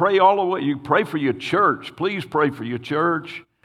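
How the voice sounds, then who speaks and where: A man talks at a moderate pace with vocal fry and lively intonation. The background is quiet. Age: old. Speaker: pastor. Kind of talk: sermon. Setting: church.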